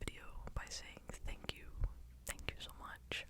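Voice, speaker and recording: A whispered voice comes through clearly audible background noise. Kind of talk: casual talk to camera.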